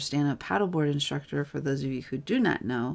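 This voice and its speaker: Her very deep, low pitch is captured on a very clean recording with a silent background. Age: 40s. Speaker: wellness entrepreneur and course coach. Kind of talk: solo livestream talk. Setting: live stream on webcam. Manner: monotone.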